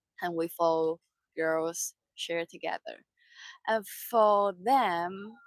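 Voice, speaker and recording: The speaker talks at a very slow pace in a Mandarin accent. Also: woman, fairly low pitch for a woman, ordinary pitch variation, dry, close sound with no echo. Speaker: sailing crew member. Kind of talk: casual chat. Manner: halting.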